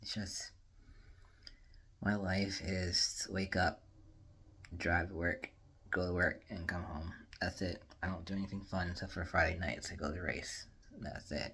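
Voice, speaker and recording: A man's very deep, low voice in a bright, sharp tone, with monotone, flat intonation, a moderate pace and long, frequent pauses. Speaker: vlogger. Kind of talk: casual vlog talk. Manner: low energy.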